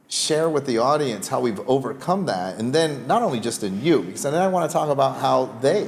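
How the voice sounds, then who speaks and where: A man speaks at medium pitch and a moderate pace. His pitch swings very widely. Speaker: podcast host. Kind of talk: podcast interview questions.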